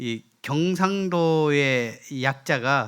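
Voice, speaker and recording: On a very clean recording with a silent background, a man speaks. His pitch is fairly high, with ordinary variation. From South Korea, Gyeongsang (Daegu area). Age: 50s. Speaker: guest preacher. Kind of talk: sermon. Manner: halting, many fillers.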